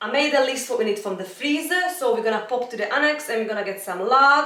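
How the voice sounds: In a bright, sharp tone, a woman talks fast at a fairly high pitch with lively intonation, and the room echo is strong.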